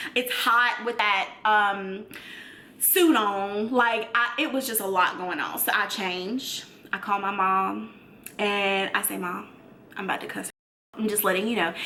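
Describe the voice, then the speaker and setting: Audible room echo around a woman with an American accent, medium in pitch, at a fairly slow pace. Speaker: YouTuber. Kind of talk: storytime. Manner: loud; animated.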